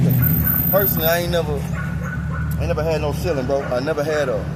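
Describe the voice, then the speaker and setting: A fairly high-pitched man talks at a fairly quick pace. There is audible room echo and noticeable background noise. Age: 30s. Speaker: street interviewee. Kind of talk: street interview.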